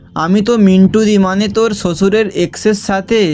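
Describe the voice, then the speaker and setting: A man talks with a high pitch. Music plays in the background. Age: 20s. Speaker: amateur storyteller. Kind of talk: read short story with dialogue.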